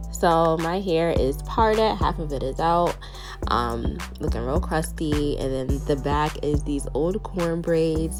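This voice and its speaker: Fairly slow speech with music in the background. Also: woman. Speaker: natural hair YouTuber. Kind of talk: casual talk to camera. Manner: casual, chatty.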